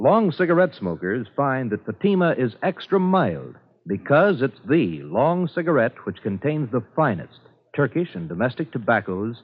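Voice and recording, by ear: A man's medium-pitched voice at a moderate pace, with big pitch swings and few pauses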